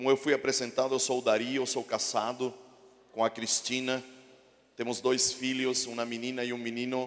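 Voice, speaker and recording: Speaking at a moderate pace with a Chilean accent, a man keeps a medium pitch and a flat, monotone intonation. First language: Spanish (speaking Portuguese). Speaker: pastor. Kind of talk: sermon. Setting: church.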